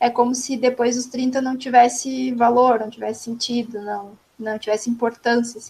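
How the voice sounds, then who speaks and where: A woman speaks in a high pitch. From Rio Grande do Sul, Brazil. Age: 20s. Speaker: podcast host. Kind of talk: casual chat.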